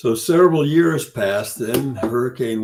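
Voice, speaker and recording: The voice belongs to a man. A somewhat breathy quality runs through it. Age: 80s+. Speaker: curtain wall consultant. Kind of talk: podcast interview. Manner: halting.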